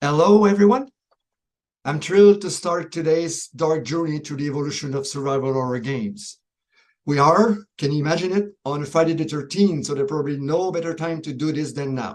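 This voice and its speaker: A man speaks fairly quickly in a Quebec accent. His pitch is fairly high, with ordinary variation. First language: French. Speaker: professor. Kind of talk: pre-recorded presentation.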